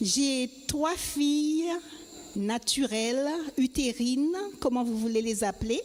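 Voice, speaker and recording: A woman speaks in a high pitch at a very slow pace, with long, frequent pauses. Her loudness stays very even over noticeable background noise. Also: ordinary pitch variation. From Guadeloupe. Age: 70s. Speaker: church member. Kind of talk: testimony.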